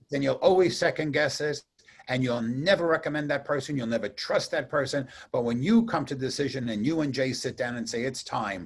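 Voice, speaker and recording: A man with a fairly high, somewhat breathy voice speaks with ordinary pitch variation. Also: fairly quick pace. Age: 60s. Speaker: radio host. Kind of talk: casual chat.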